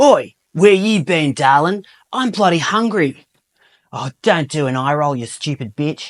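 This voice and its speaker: A man uses a put-on character voice, gruff and fairly high, with an Australian accent. His intonation is lively at a moderate pace, with a dry, close sound and no echo. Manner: rude, belligerent.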